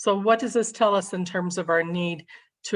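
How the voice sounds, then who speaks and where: This woman talks at a fairly quick pace with an American accent, in a medium pitch with ordinary pitch variation. She has a plain, everyday voice. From Kentucky, US South. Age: 60s. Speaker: state suicide prevention administrator. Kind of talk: presentation.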